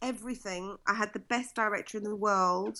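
Her pitch is medium for a woman, and her tone is bright and sharp. She speaks at a moderate pace with monotone, flat intonation. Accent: British. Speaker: singer, vocal coach, TV judge. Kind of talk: casual interview. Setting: video call from Florida.

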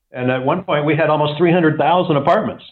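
A man speaks with an American accent in a plain, everyday voice. His pace is fairly quick. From US South, Atlanta Georgia. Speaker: real estate company CEO. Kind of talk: interview.

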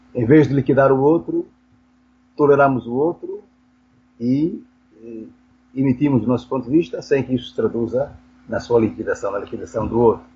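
Medium-pitched male speech at a moderate pace, with vocal fry, ordinary pitch variation and long, frequent pauses. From Angola (Benguela). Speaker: philosophy professor. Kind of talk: interview. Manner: halting, with frequent repetitions.

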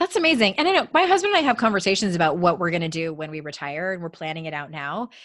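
Talking at a very fast pace with hardly any pauses, a woman sounds animated, with ordinary pitch variation. Her loudness swings widely. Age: 40s. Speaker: author and life coach. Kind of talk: casual interview chat. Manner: high-energy, animated.

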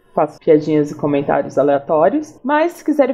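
A woman speaks with very wide pitch swings. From Paraná, Brazil. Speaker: UX designer. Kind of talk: casual chat.

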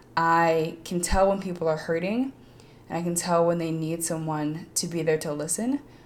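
A woman's mumbling at a fairly low pitch, with ordinary pitch variation. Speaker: podcast host. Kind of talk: motivational monologue.

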